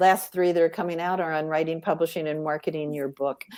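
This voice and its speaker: A woman with a fairly low pitch races along at a very fast pace in a monotone, flat delivery. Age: 70s. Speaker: radio show host and author. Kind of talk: casual panel interview. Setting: recorded in front of a live audience.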